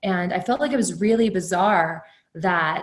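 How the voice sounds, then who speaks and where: A woman with an American accent speaks fairly slowly in a somewhat breathy voice with ordinary pitch variation. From Texas Hill Country. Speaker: pharmacist. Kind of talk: interview conversation.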